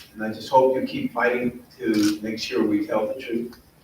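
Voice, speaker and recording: Fairly slow speech from a man, with noticeable background noise and audible room echo. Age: 60s. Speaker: mayoral candidate. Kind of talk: candidate forum answer.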